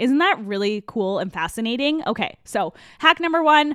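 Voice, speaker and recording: Her tone is animated. The woman's pitch swings very widely. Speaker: podcast host. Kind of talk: podcast monologue. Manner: fast.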